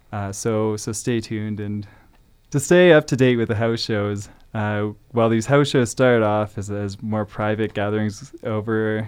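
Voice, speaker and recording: Against a quiet background, a man with a Canadian accent speaks at a fairly low pitch, his intonation fairly even. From Calgary, Alberta, Canada. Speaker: forester and house concert host. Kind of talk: radio interview. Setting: radio studio. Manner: hesitant, many fillers and repetitions.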